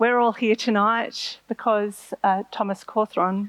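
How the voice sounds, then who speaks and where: Speaking at a fairly slow pace, a woman keeps a monotone, flat intonation at a medium pitch, with a dry, close sound and no echo. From Australia. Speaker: marine scientist. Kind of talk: lecture.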